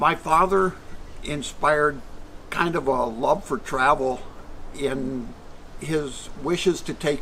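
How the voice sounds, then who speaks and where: A man with an American accent speaks in a fairly high voice with ordinary pitch variation, and noticeable background noise can be heard. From Michigan, US Midwest. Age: 70s. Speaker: retired traveler. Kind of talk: interview.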